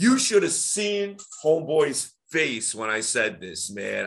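The voice has vocal fry, a bright, sharp tone and very wide pitch swings. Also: man. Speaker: voice coach or podcast host. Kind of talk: casual chat. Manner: energetic, projected public voice; loud, sounds like yelling.

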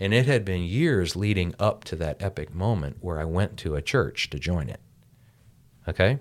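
A man with an American accent, very deep and low-pitched, his intonation lively, at a moderate pace, on a very clean recording with a silent background. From US, rural farming village. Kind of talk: casual chat. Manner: animated.

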